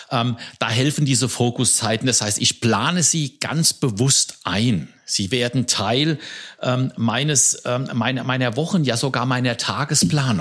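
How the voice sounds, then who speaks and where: An ordinary speaking voice moves at a fairly slow pace. Loudness stays very even while the pitch varies in an ordinary way. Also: man, medium pitch for a man. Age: 60s. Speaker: podcast co-host, leadership coach. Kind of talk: casual podcast conversation.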